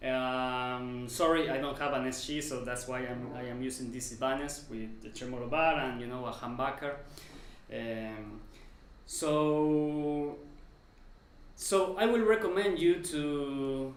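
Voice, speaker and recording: A man with a non-native accent talks fairly slowly at a medium pitch with ordinary pitch variation. Noticeable background noise and audible room echo fill the recording. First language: not English. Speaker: guitar teacher. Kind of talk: tutorial. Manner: halting.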